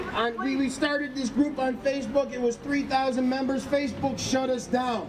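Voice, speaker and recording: The speaker keeps a moderate pace. Clear music can be heard in the background. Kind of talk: rally speech. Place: street.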